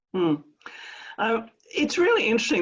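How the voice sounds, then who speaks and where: A woman is speaking. She has an Australian accent. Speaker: professor of adolescent health. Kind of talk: interview.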